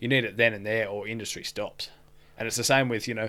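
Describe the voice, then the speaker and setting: Bright and sharp in tone, a man talks with an Australian accent. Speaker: podcast co-host, tradesman. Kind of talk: casual chat.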